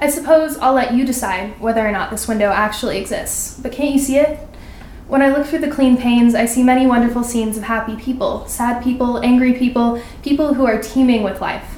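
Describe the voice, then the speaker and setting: A woman with an American accent speaks at a fairly quick pace in a high pitch with fairly even intonation, with noticeable background noise and audible room echo. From California, Sacramento. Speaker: college student. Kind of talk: reading aloud. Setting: stage with audience at a winery.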